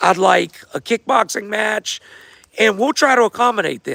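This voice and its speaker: A man speaks in a raised, projected voice at a high pitch with ordinary pitch variation, in a dry, close sound with no echo. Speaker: fight event organizer. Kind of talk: livestream Q&A. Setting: livestream. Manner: casual, rambling.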